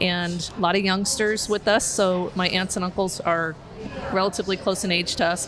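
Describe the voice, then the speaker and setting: Speaking with a Southwestern US accent, a woman at medium pitch keeps a moderate pace and fairly even intonation, with noticeable background noise and audible room echo. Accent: US Southwest (General American). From Arizona, northern Phoenix. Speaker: criminal justice educator. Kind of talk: podcast interview. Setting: outdoors on a porch, downtown.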